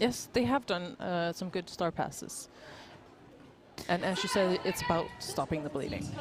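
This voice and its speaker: Speaking at a moderate pace with long, frequent pauses, a woman with a Danish accent and a fairly low pitch talks over noticeable background noise. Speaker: roller derby commentator. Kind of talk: live commentary.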